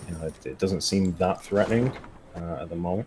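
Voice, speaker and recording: A man speaks with a northern English accent. Noticeable background noise runs under his voice. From northern England. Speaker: game designer. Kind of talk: casual gameplay stream chat. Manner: hesitant, many fillers.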